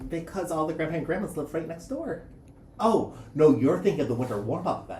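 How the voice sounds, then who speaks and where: The speech runs at a fairly quick pace through noticeable background noise. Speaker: high school teacher. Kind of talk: casual chat.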